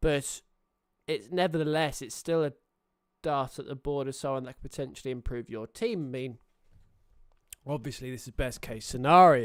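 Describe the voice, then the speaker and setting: A man with a British accent, ordinary pitch variation, big swings in loudness and long, frequent pauses. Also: medium pitch for a man, moderate pace, very clean recording, silent background. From Britain. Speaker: sports streamer. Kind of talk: casual live stream chat. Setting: live stream. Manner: hesitant, many fillers.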